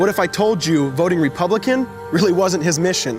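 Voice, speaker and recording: With music in the background, a man talks at a fairly quick pace, his pitch swinging very widely. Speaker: spoken word poet. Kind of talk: spoken word poetry performance.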